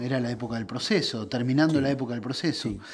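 A man talks at medium pitch. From Argentina, Buenos Aires province. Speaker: interviewer. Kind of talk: interview. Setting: indoors during cooking show. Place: home room.

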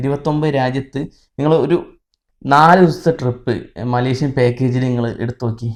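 A man speaks in a normal speaking voice with fairly even intonation. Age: 20s. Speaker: YouTuber, content creator. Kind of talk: casual Q&A chat.

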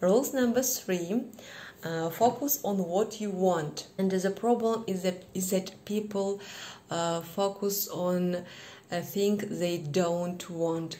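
A woman with a Kazakh accent speaks at a very slow pace in a dark, mellow tone. Her pitch varies in an ordinary way. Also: medium pitch for a woman. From Kazakhstan. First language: not English. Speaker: English learner vlogger. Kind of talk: casual lesson talk to camera. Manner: hesitant, many fillers. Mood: cheerful, warm. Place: home room. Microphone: phone near.

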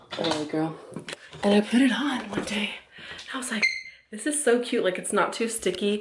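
Noticeable background noise behind a woman talking at a moderate pace. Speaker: vlogger. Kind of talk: casual vlog chat. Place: home room. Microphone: phone near.

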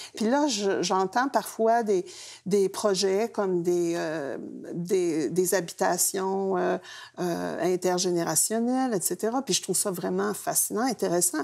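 Faint music plays in the background as a woman talks. She goes at a very slow pace with ordinary pitch variation. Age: 70s. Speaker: engaged retiree; guest. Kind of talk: panel discussion. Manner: hesitant. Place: studio. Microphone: lapel.

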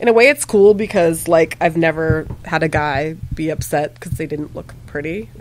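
Over light background noise, a woman in an ordinary speaking voice talks at a moderate pace and fairly low pitch with ordinary pitch variation, big swings in loudness and hardly any pauses. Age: 40s. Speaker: makeup and body paint artist; podcast guest. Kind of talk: casual chat. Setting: bar. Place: shop.

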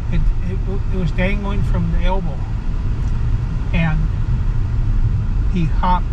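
A man speaks at a moderate pace. Loud background noise runs underneath. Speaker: grandfather acting as tour guide. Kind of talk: casual storytelling. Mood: reflective, calm. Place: car. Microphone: phone near.

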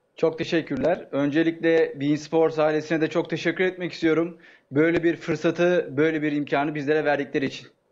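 A man talks at a fairly quick pace with hardly any pauses, his fairly high pitch held in a monotone, flat intonation and his loudness very even. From Turkey, Sakarya; Turkey. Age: 20s. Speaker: aspiring sports commentator, contest contestant; aspiring sports commentator. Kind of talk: live TV interview. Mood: polite, grateful. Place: home room. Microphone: earbuds.

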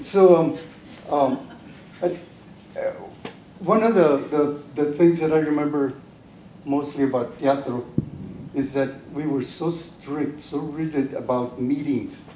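Light background noise and audible room echo surround a man speaking at a fairly slow pace. His intonation is fairly even, with long, frequent pauses. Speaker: panel member. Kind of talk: panel discussion reminiscence. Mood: warm, nostalgic, smiling. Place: meeting room. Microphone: handheld.

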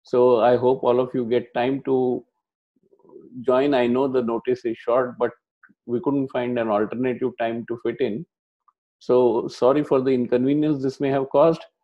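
A man's monotone, flat intonation over a quiet background. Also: moderate pace. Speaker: lecturer at online workshop. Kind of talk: lecture. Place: home room. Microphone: earbuds.

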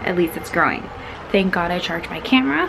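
A woman talks with ordinary pitch variation. Noticeable background noise runs under her voice. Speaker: beauty vlogger. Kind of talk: casual vlog chat. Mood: cheerful, giddy. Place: home room. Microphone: phone near.

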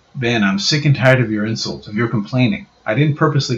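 A passage read aloud in a natural voice

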